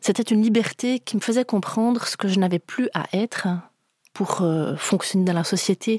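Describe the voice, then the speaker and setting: A woman speaks at a moderate pace and a medium pitch. Her intonation is fairly even, and the sound is dry and close with no echo. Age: 40s. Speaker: guest telling her faith story. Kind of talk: testimony. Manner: halting, with repeated words.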